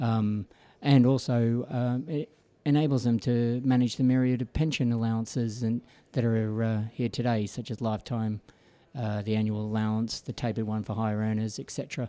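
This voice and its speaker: With an Australian accent, a man speaks at a moderate pace and a medium pitch, in a dark, mellow tone with fairly even intonation. The recording is very clean, with a silent background. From Australia, Melbourne. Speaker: financial services executive. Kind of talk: radio interview. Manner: hesitant, many fillers.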